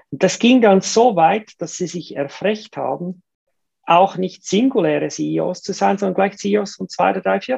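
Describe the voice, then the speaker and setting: Vocal fry in a dark, mellow tone at a fairly slow pace. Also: woman, medium pitch for a woman, ordinary pitch variation. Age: 50s. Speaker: entrepreneur and investor. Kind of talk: casual interview. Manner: hesitant fillers, repetitions.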